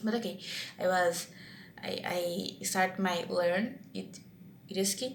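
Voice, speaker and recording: This woman talks at a very slow pace, at medium pitch, with a Brazilian Portuguese accent. Her pitch varies in an ordinary way. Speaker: vlogger practicing English. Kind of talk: casual monologue vlog. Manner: halting, many restarts and fillers.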